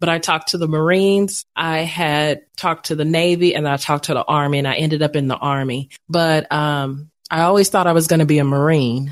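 A woman speaks in an East Texas accent, her pitch very deep and low. Her intonation stays fairly even. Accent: East Texas drawl. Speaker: veteran, coach and podcast host. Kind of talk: casual interview chat.

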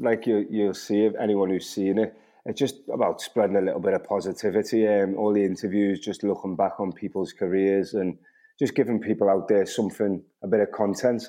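A man speaks with an ordinary speaking voice. His pace is fairly quick. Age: 30s. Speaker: professional footballer. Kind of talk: casual chat.

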